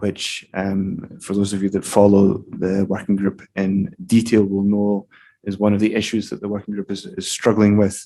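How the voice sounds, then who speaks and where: The tone is dark and mellow, delivered at a moderate pace. Intonation stays monotone and flat. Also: man. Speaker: European Union trade official presenting at a workshop. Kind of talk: conference presentation. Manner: hesitant with many fillers.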